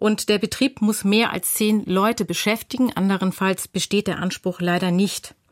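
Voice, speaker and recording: An unremarkable speaking voice comes through at a moderate pace with a dry, close sound and no echo. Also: woman. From North Rhine-Westphalia. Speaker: lawyer. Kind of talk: expert explanation on radio.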